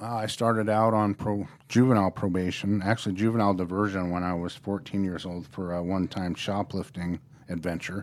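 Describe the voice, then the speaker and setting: A man with an American accent talks at a fairly quick pace in an ordinary speaking voice, with a fairly low pitch and fairly even intonation. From Norfolk, Nebraska. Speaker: probation officer. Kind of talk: interview, personal story. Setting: studio.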